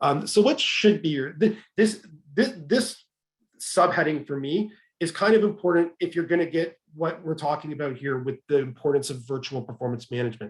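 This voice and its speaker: A man speaks in a fairly high voice with lively intonation. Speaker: webinar presenter on HR topics. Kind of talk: webinar presentation. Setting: online webinar. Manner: fast.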